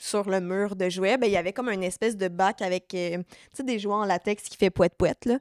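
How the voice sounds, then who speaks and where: A woman speaks with a Quebec accent at medium pitch and a moderate pace, recorded very cleanly against a silent background with a dry, close sound and no echo. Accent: Québécois French. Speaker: podcast co-host. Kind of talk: casual chat. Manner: animated.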